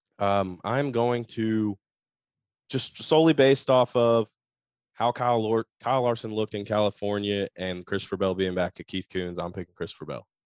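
A man with an American accent speaks at a moderate pace in an ordinary speaking voice, his pitch fairly low with ordinary variation, recorded dry and close with no echo against a quiet background. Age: 30s. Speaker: racing podcast co-host. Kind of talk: casual chat. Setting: video call.

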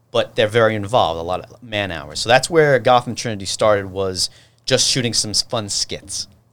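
Speaking at a moderate pace in a New York accent, a man with a fairly low voice uses ordinary pitch variation and big swings in loudness. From New York City (Brooklyn, Staten Island). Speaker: TV producer and director. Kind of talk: casual chat.

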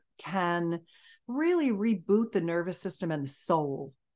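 Against a quiet background, a woman speaks at a fairly slow pace with a fairly low pitch. Hers is a plain, everyday voice with ordinary pitch variation. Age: 60s. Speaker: intimacy coach and entrepreneur. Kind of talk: interview.

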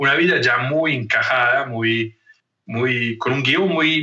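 A man speaks very slowly in a fairly high pitch. His pitch varies in an ordinary way. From northern Italy, Trento. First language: Italian (speaking Spanish). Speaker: leadership coach and anthropologist. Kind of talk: interview conversation. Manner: halting, many repetitions and fillers.

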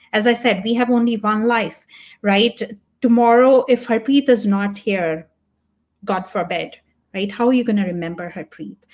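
Speaking in an animated tone with a Punjabi accent, a woman uses a fairly high pitch. She leaves long, frequent pauses, and the recording is very clean with a silent background. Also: ordinary pitch variation, moderate pace. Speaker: tech product manager. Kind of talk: interview. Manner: halting.

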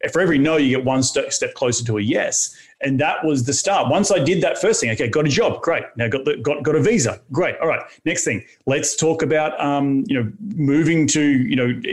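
With an Australian accent, a man speaks in a fairly high pitch with ordinary pitch variation. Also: very even loudness. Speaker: real estate entrepreneur. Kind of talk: interview. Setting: studio.

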